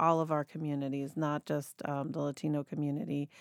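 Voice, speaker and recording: A woman with an American accent speaks in a very deep, low voice and a monotone, flat intonation at a moderate pace. The sound is dry and close with no echo, on a very clean recording with a silent background. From Mexico and Argentina, then US. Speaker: nonprofit director. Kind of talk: interview. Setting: studio.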